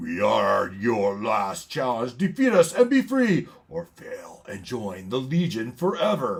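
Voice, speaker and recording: A man puts on a character voice at a medium pitch, with big swings in loudness. He goes at a fairly slow pace with hardly any pauses. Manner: growling, menacing, booming.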